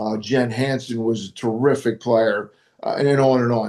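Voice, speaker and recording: A man talks in a dark, mellow tone with monotone, flat intonation. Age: 70s. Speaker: retired basketball coach. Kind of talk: interview. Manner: halting, many repeated words.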